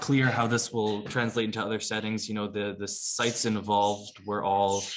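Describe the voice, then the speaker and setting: There is audible room echo as a man talks at a fairly low pitch. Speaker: emergency physician presenting. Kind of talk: medical lecture. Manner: fast; halting.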